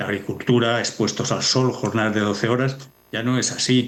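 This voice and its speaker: The delivery is fairly quick, with a monotone, flat intonation. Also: man. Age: 60s. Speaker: demography expert. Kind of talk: TV news interview.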